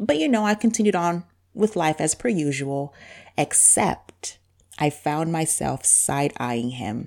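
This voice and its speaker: A woman speaks with a very deep, low pitch and a warm tone. Her pace is fairly slow, and her pitch swings very wide. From Zambia. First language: Bemba. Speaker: podcast host. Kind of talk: casual monologue. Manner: warm, conversational.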